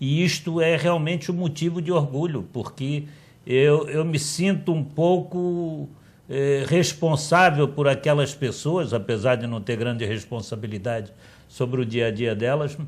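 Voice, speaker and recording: Somewhat breathy, a man speaks with a fairly high pitch and ordinary pitch variation at a fairly slow pace. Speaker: politician. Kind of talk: TV debate interview.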